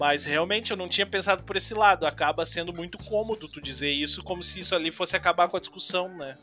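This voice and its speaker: With music in the background, a man talks at a very fast pace with hardly any pauses, using a high pitch, ordinary pitch variation and big swings in loudness. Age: 30s. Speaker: podcast host. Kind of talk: casual interview.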